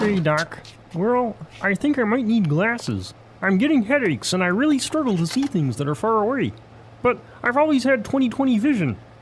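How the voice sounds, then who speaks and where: A man uses a put-on character voice, pitched high with very wide pitch swings and a fairly quick pace. Clear background noise runs underneath. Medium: comedy sketch. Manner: hesitant.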